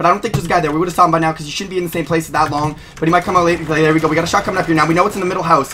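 Over light background noise, a man with a high pitch speaks very fast, with hardly any pauses. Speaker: gaming streamer. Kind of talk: live gameplay commentary, play-by-play. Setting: playing a video game, streaming. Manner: fast, rapid-fire talker narrating every move; hyped, excitable, profane and loud. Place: home room.

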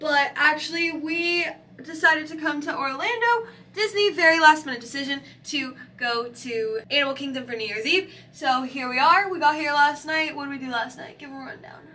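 A woman uses a raised, projected voice with a bright, sharp tone, lively intonation and big swings in loudness at a moderate pace. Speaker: vlogger. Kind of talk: casual vlog chat. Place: home room. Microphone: phone near.

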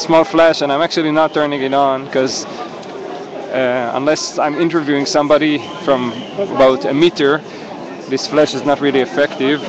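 A man at a moderate pace with fairly even intonation, dry with no echo, against noticeable background noise. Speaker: live streamer at protest. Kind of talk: live walking commentary. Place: street. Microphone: phone near.

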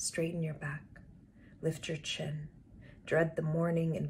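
Somewhat breathy, a woman speaks at a very deep, low pitch over light background noise. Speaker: poet reading her own work. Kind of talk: poetry reading. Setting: online live stream session. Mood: calm, earnest, intimate. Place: home room. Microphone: webcam.

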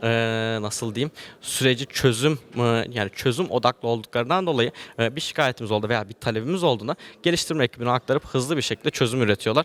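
Talking at a very fast pace is a man with a medium pitch. His pitch variation is ordinary. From Turkey, Antalya. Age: 20s. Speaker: agricultural engineer and IT business owner. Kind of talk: interview. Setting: event venue, hotel. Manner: hesitant, many fillers.

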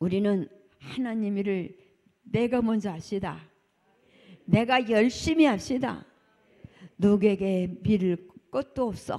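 A woman speaks at a very slow pace, leaving long, frequent pauses. Her tone is dark and mellow, with ordinary pitch variation, against a quiet background. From South Korea. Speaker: church deaconess. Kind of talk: testimony. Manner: animated. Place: church. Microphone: handheld.

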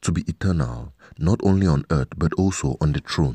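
With a low pitch and a dark, mellow tone that carries a slightly husky edge, a man speaks at a moderate pace using lively intonation.

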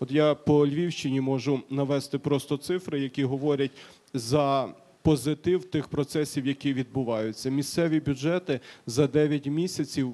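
Speaking at a moderate pace, a man uses a fairly high, dark and mellow voice with fairly even intonation. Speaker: panelist on decentralization. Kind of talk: panel discussion. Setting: stage with audience. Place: hall. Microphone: handheld.

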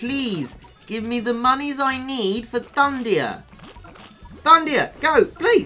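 Music plays in the background as the speaker talks at a very slow pace. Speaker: video game commentator. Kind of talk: casual gameplay commentary.

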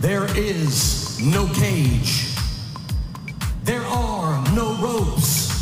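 Clear music plays in the background as a man speaks amid audible room echo. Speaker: ring announcer. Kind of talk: dramatic fight event intro announcement. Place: stadium. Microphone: handheld.

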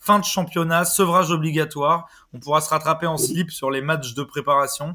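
The voice has a bright, sharp tone and fairly even intonation. It moves at a moderate pace. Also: man. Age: 20s. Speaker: football podcast host. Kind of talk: casual chat; scripted narration.

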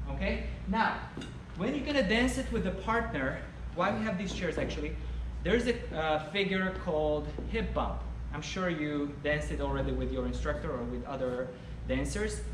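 A man speaks at a moderate pace, with long, frequent pauses. Noticeable background noise runs underneath. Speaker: dance instructor. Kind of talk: tutorial. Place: hall.

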